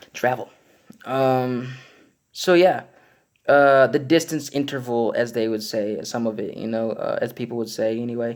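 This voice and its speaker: Here a man speaks at medium pitch. His pitch variation is ordinary. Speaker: religious video blogger. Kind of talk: religious monologue. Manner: fast; hesitant, many fillers.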